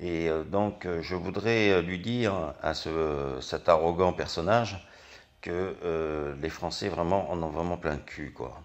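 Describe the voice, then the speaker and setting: Pitch varies in an ordinary way while the words come at a fairly slow speed. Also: man. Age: 60s. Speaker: angry citizen vlogger. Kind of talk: political rant. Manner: halting.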